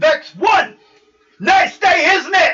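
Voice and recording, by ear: Shouting in a put-on character voice, a man hits an extremely high pitch.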